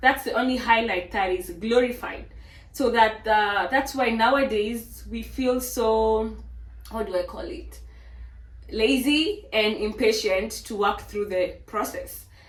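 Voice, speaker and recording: Big swings in loudness, audible room echo, and a fairly slow pace. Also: woman. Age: 20s. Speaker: fitness trainer and vlogger. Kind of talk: casual motivational monologue.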